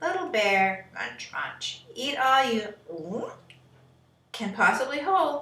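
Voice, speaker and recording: In a high-pitched put-on character voice, a woman speaks at a very slow pace with long, frequent pauses and a slight echo. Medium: read story.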